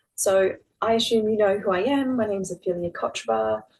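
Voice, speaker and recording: With an Australian accent, a woman speaks at a fairly quick pace. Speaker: fertility nutritionist. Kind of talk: webinar masterclass presentation. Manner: casual, many fillers.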